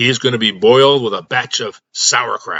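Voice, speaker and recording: A man puts on a character voice that is gruff, raspy and growling. He speaks at a moderate pace with a medium pitch. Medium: read story. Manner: gruff, growling.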